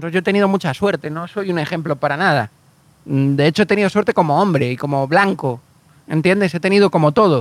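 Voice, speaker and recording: Talking at a very fast pace, a man with a high pitch and ordinary pitch variation sounds dry and close, with no echo. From Canary Islands, Spain (Galician family). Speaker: actor and screenwriter. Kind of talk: casual interview chat.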